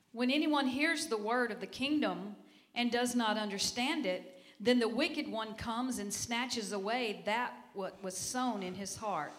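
A woman with a fairly high voice talks at a moderate speed, her pitch rising and falling in an ordinary way against noticeable background noise. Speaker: church member. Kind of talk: reading aloud scripture. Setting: church.

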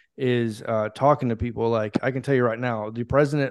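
A man's normal speaking voice at medium pitch, fairly quick in pace, with fairly even intonation over a quiet background. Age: 30s. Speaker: Air Force veteran and sports podcaster. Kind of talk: casual chat.

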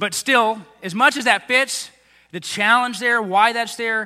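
A man with an American accent speaks in a raised, projected voice at a high pitch. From Texas, Tomball area. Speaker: pastor. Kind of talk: sermon. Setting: church.

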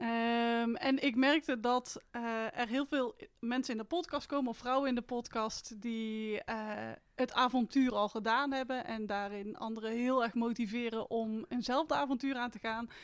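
The woman's pitch is high, her intonation fairly even. She keeps a moderate pace. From Netherlands, North Brabant (Etten-Leur). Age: 30s. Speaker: mindful walking coach and hiker. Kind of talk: casual interview conversation.

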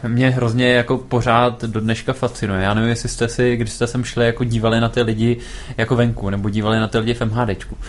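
A man with a medium pitch talks very fast in a flat monotone. His loudness stays very even, and there is noticeable background noise. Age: 20s. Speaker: startup founder. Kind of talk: interview.

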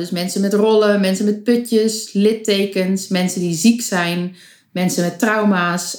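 A woman has an unremarkable speaking voice at medium pitch. Her intonation stays fairly even. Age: 20s. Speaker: photographer. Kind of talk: casual chat.

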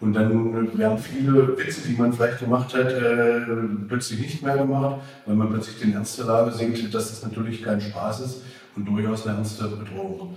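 A moderate pace and fairly even intonation, with noticeable background noise and audible room echo. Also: man, medium pitch for a man. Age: 50s. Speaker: city official. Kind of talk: interview. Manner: halting. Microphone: poor recording quality, faulty mic.

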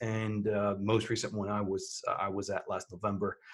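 This voice has a French accent. It moves at a moderate pace. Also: man. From France. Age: 40s. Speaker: podcast host and business owner. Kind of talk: solo podcast monologue. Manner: halting, many fillers.

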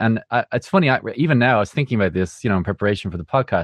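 A man with an Irish accent speaks at a fairly low pitch, recorded dry and close with no echo against a quiet background. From Ireland. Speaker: music producer. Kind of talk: casual interview.

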